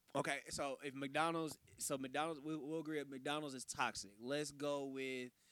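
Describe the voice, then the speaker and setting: This man has an unremarkable speaking voice, fairly high in pitch, moving at a moderate pace with fairly even intonation and hardly any pauses. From Texas. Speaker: clothing designer. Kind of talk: casual chat.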